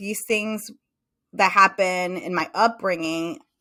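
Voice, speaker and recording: In a very clean recording with a silent background, a woman with a Spanish accent speaks at a medium pitch with a bright, sharp tone. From Mexico. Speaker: psychotherapist. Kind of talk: interview.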